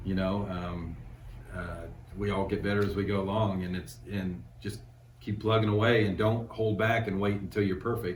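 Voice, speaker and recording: At a moderate pace, a man speaks in a fairly low voice with ordinary pitch variation and audible room echo. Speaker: screen printing business owner. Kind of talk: casual interview. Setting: on location at a store. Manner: hesitant, many fillers.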